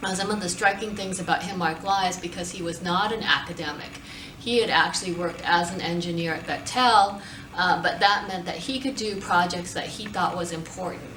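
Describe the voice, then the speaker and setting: Against noticeable background noise, a woman with an American accent talks at a fairly quick pace and medium pitch. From United States. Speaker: university professor and center director. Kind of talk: interview answer.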